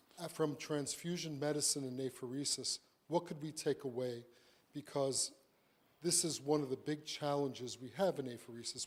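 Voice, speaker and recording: With a New York accent, a man speaks at a moderate pace, his fairly high pitch held in a fairly even intonation. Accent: New York American. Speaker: physician speaking on apheresis and transfusion medicine. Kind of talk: conference lecture.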